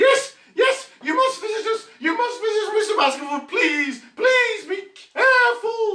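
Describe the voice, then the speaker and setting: A put-on character voice, squeaky and extremely high-pitched, moves at a moderate pace with a slight echo. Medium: stage play. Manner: oily, insistent.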